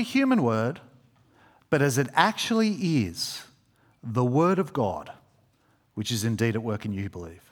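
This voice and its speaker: A man with an Australian accent, a warm tone, very wide pitch swings and a moderate pace. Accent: Australian, fairly broad. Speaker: preacher. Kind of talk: sermon. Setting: church. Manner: informal, warm, halting with fillers.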